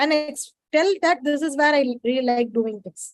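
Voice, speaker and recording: Moderate pacing in an Indian accent. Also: woman. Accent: Indian English (Tamil). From India, Chennai. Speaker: data science professional. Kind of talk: webinar Q&A advice. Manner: casual, informal.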